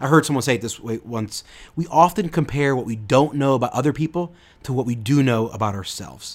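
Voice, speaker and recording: A man with a normal speaking voice talks at a fairly quick pace, at a medium pitch with ordinary pitch variation. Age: 30s. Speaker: podcast host, youth ministry. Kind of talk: solo podcast talk.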